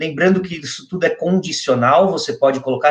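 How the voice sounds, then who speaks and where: This man has a high voice and keeps to a moderate pace. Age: 20s. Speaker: SEO specialist. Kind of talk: online interview, technical explanation.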